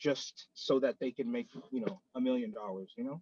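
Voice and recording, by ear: The speaker has an American accent and a fairly slow pace. Intonation stays fairly even, and the sound is dry and close with no echo. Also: man.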